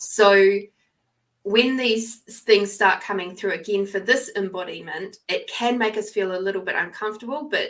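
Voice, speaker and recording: At a moderate pace, a woman talks at a medium pitch with fairly even intonation. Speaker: tarot card reader. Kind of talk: live stream reading; casual chat.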